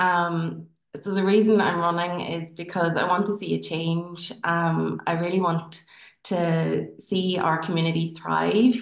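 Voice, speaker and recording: In a Northern Irish accent, a woman speaks fairly slowly in a fairly low pitch with fairly even intonation. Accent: Tyrone. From Northern Ireland, County Tyrone. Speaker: dentist and local election candidate. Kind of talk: campaign speech.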